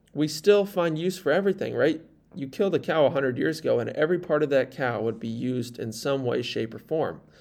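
A man's fairly high pitch at a very fast pace, with lively intonation. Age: 20s. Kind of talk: solo podcast monologue. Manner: casual, conversational.

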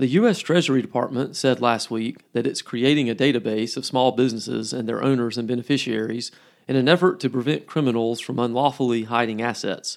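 A man speaks at a fairly quick pace with hardly any pauses, his medium pitch moving with ordinary variation in an ordinary speaking voice. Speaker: podcast host. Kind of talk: formal news reading. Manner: measured, steady newsreader pace; formal, crisp and businesslike.

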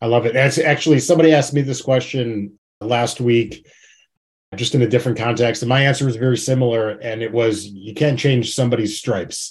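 Somewhat breathy, a man with an American accent talks at a fairly quick pace with fairly even intonation. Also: medium pitch for a man. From Chicago. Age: 30s. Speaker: podcast host. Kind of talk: interview.

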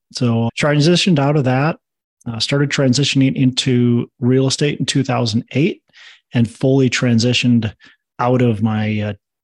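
In an American accent, a man uses a plain, everyday voice at medium pitch, a moderate pace and fairly even intonation. The sound is dry and close with no echo, against a quiet background. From Minnesota. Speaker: real estate investor. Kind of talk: interview.

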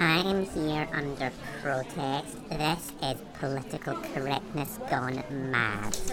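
Loud background noise accompanies speech delivered fairly slowly. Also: man, fairly high pitch for a man. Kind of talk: comic overacting. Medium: comedy sketch. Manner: pompous, indignant, ranting.

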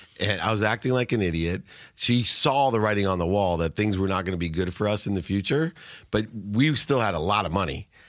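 On a very clean recording with a silent background, a man speaks at a fairly quick pace with very even loudness and ordinary pitch variation. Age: 50s. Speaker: entrepreneur and speaker. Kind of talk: interview. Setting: studio.

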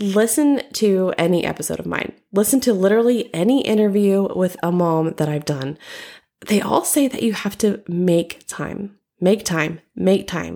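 A woman's medium-pitched voice with a dark, mellow tone and lively intonation, at a fairly slow pace. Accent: American. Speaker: podcast host, mother and creative. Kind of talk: solo podcast monologue with tips. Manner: animated.

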